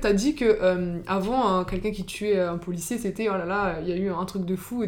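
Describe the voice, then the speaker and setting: Barely pausing, a woman speaks in a plain, everyday voice at a medium pitch, with ordinary pitch variation. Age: young. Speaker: podcast host. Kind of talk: scripted narration; interview.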